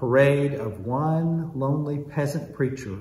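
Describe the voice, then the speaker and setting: Speech comes at a moderate pace. There is audible echo in the room. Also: man. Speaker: pastor. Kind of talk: worship welcome, liturgical address. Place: church. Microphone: camera far.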